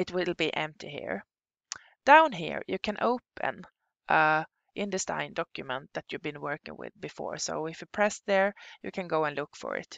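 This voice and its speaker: At a moderate pace, a woman with a non-native accent speaks with long, frequent pauses and big shifts in loudness. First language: Swedish. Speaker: software instructor. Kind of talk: tutorial. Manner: halting.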